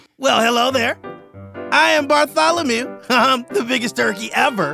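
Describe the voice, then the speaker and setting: Putting on a character voice at an extremely high pitch, a man speaks at a moderate pace with faint music in the background. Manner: relaxed, laid-back.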